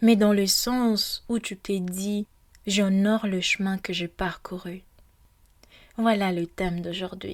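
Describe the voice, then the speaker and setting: A woman speaks very slowly at a medium pitch in a gentle tone with monotone, flat intonation, on a very clean recording with a silent background. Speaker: podcast host. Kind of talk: guided meditation intro, personal reflection. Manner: hesitant, with fillers; gentle, soft.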